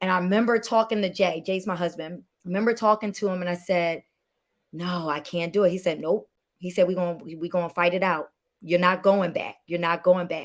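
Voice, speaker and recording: In an ordinary speaking voice, a woman talks at a fairly quick pace with medium pitch and fairly even intonation. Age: 30s. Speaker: filmmaker and producer. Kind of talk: interview conversation.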